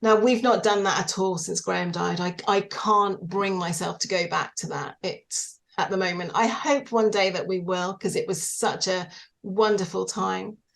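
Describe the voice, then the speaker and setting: A woman with a British accent speaks at a moderate pace and medium pitch, with vocal fry, fairly even intonation and hardly any pauses. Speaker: widow, singing teacher and small business owner. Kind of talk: interview. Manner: hesitant, many fillers.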